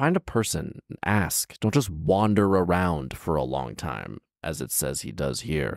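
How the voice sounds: The pace is fairly slow, with vocal fry throughout. The sound is dry and close, with no echo. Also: man, extremely low pitch for a man, lively intonation, very clean recording, silent background.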